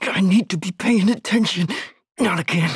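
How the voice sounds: A man puts on a character voice pitched high, with a husky, rough edge and vocal fry, speaking at a moderate pace with ordinary pitch variation in a dry, close sound with no echo.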